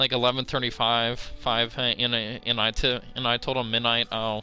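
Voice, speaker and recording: Monotone, flat speech plays with music in the background. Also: man. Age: 20s. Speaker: gaming streamer. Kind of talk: casual chat. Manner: halting.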